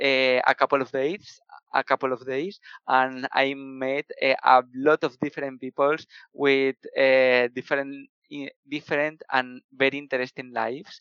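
In a Spanish accent, a man of medium pitch talks with monotone, flat intonation. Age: 20s. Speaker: software developer. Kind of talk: casual interview. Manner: halting.

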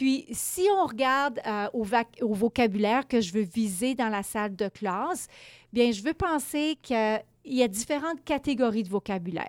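A woman's plain, everyday voice at a fairly high pitch and fairly slow pace, on a very clean recording with a silent background and a dry, close sound with no echo. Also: lively intonation. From Quebec, small village. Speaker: education lecturer. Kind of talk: interview.

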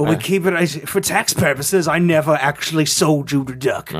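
Noticeable background noise surrounds a man speaking at a fairly high pitch. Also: moderate pace. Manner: gruff, sardonic, grudging.

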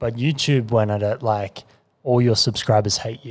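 In a very clean recording with a silent background, a man speaks in a normal speaking voice. His pitch is medium and his intonation fairly even. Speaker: podcast co-host. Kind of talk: casual chat.

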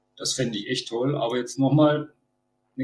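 A somewhat breathy man's voice at a medium pitch. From Baden-Württemberg. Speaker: Star Wars cosplayer. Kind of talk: casual chat.

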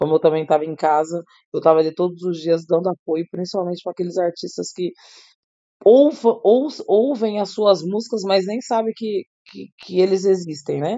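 An unremarkable speaking voice from a woman, fairly low in pitch with ordinary variation, at a moderate pace. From Brazil. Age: 30s. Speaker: singer and songwriter. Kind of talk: interview.

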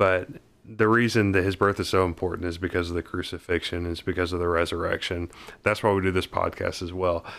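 A man talks at a fairly quick pace in a very deep, low, monotone voice with flat intonation, recorded very cleanly with a silent background. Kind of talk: casual chat.

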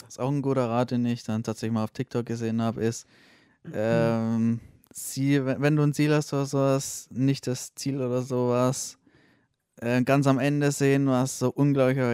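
Recorded very cleanly against a silent background, a man speaks at a medium pitch in a dark, mellow tone with monotone, flat intonation. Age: 20s. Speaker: podcast guest. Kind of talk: casual chat.

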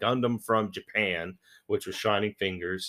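A man speaks in an animated tone at a fairly low pitch. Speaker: podcast host. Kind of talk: casual chat.

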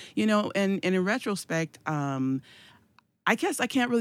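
On a very clean recording with a silent background, a woman talks at a fairly quick pace with very wide pitch swings. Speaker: evangelist and church leader. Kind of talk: casual chat.

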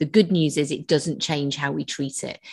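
A woman's very deep, low voice at a moderate pace, fairly even in intonation, with a quiet background. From London, England. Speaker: shoulder physiotherapist and course teacher. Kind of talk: interview.

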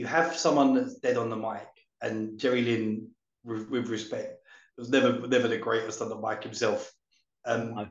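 Speaking at a moderate pace with fairly even intonation, a man has an unremarkable speaking voice. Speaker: wrestling podcast co-host. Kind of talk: casual chat, show review.

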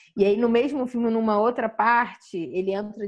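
Using a plain, everyday voice, a woman talks at a moderate rate, her pitch varying in an ordinary way. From São Gonçalo area, Rio de Janeiro, Brazil. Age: 20s. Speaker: journalist and activist. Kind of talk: interview conversation.

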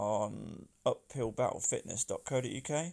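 Very clean and silent in the background, the recording carries a man speaking fairly slowly with an English Midlands accent. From England, Northampton. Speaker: personal trainer and podcast host. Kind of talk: casual solo podcast intro. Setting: outdoors in a garden.

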